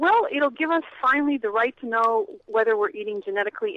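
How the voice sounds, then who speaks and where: This woman's unremarkable speaking voice keeps a moderate pace and ordinary pitch variation. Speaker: ballot initiative activist. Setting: phone call.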